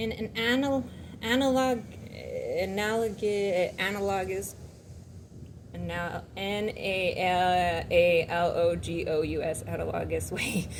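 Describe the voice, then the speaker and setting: With a noticeable room echo, a woman's speech unfolds at a very slow pace. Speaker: spiritual vlogger. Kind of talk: reading aloud; casual chat.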